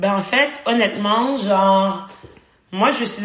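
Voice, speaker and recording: A woman's medium-pitched voice at a very slow pace, with ordinary pitch variation and audible room echo. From Haiti. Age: 20s. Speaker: podcast co-host, student. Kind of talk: casual chat.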